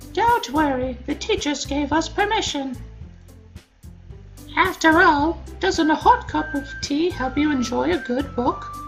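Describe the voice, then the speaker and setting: Over clear music in the background, a put-on character voice speaks with a high pitch at a fairly slow pace. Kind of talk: polite, genteel.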